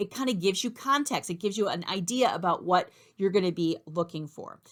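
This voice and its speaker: A woman's unremarkable speaking voice at a medium pitch, fairly quick in pace, with lively intonation. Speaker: math instructor. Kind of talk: tutorial. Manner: casual, conversational with fillers.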